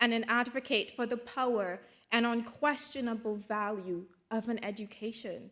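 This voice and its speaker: With a Caribbean accent, a woman speaks high-pitched at a fairly slow pace in a very clean recording with a silent background. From Dominica, Caribbean. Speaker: graduate student speaker and journalist. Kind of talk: graduation speech. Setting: stage with audience at graduation ceremony. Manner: formal.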